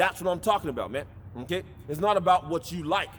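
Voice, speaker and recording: A man talks loudly at a very fast pace. His pitch is high. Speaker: street preacher. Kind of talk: sermon. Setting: outdoors. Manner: aggressive.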